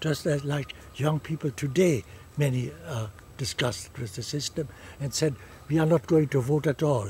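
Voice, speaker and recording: A man's fairly high, somewhat breathy voice with a German accent, at a fairly slow pace. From Germany. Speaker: refugee from Nazi Germany. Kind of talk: oral history interview answer.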